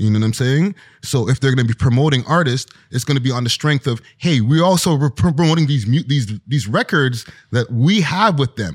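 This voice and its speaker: A somewhat breathy voice with lively intonation and very even loudness, recorded dry and close with no echo, very clean against a silent background. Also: man, medium pitch for a man. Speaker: hip-hop media personality and podcaster. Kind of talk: casual interview chat. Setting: studio.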